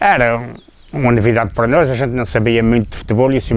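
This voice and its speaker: A man's voice sits at a medium pitch and moves at a fairly quick pace. Noticeable background noise runs behind him. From Azores, São Miguel (Povoação). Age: 60s. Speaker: former football player. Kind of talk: interview. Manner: halting.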